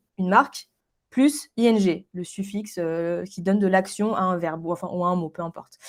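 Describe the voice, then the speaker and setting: Speaking at a medium pitch, a woman uses lively intonation with big swings in loudness. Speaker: branding specialist. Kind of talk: interview. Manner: fast.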